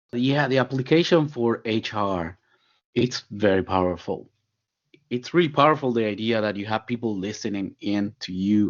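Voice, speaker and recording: This voice moves at a moderate pace with a Spanish accent. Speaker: company CEO and podcast co-host. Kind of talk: podcast conversation.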